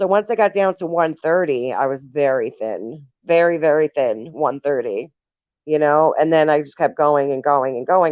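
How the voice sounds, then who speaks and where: In a dry, close sound with no echo, a woman speaks at a very deep, low pitch with lively intonation. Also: moderate pace. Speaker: recovery livestreamer. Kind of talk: casual livestream chat. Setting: live stream. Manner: emotional, voice shaking.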